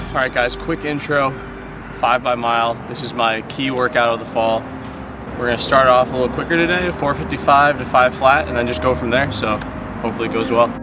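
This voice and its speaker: Against noticeable background noise, a man speaks at a fairly quick pace with ordinary pitch variation, the sound dry with no echo. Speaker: runner vlogger. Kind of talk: casual vlog chat. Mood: upbeat, pleased. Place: stadium.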